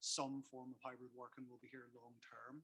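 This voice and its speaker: With a Belfast accent, a man talks at a very fast pace in a bright, sharp tone. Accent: Belfast accent, kept. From Northern Ireland, Belfast. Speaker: workplace consultant. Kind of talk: conference talk. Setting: stage with audience. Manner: repetitive stammering starts.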